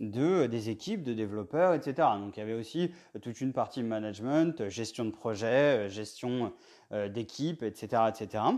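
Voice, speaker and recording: With a quiet background, a man talks at a fairly slow pace and a medium pitch. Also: ordinary pitch variation. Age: 30s. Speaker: indie game developer and podcast host. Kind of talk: solo podcast monologue. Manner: halting, many fillers.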